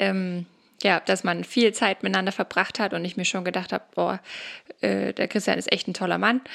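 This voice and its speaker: The recording is very clean, and the background is completely silent. A woman talks at a fairly quick clip. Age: 20s. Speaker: social worker, mother. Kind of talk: interview, personal testimony.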